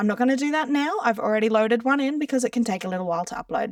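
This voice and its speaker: In an Australian accent, a woman speaks in a fairly high voice with lively intonation. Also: dry, close sound with no echo. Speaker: social media content creator. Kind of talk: tutorial. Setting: screen share recording. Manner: casual.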